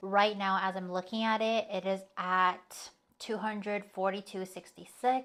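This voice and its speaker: A woman talks at a fairly slow pace in a normal speaking voice, her pitch medium. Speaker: lifestyle vlogger. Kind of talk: casual vlog narration.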